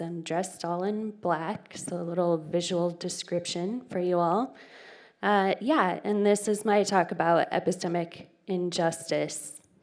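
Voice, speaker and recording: In an American accent, the speaker goes at a fairly slow pace with fairly even intonation on a very clean recording with a silent background. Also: woman. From Phoenix, Arizona, US. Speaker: conference speaker. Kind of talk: conference talk. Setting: movie theater with audience. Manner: casual, interactive.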